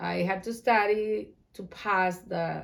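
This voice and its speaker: A woman with an Ecuadorian accent and a medium pitch talks at a very slow pace in a monotone, flat intonation. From Ecuador, Guayaquil. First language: Spanish. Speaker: Spanish teacher. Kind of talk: interview.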